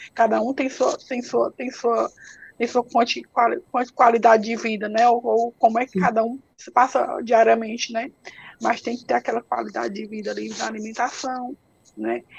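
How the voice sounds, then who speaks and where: A woman speaks at a moderate pace in a fairly high voice with vocal fry, her intonation flat and monotone while her loudness swings widely. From Ceará, Brazil (interior). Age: 40s. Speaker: patient advocate with multiple sclerosis. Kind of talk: interview on a live stream. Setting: online live stream. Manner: halting, with repetitions.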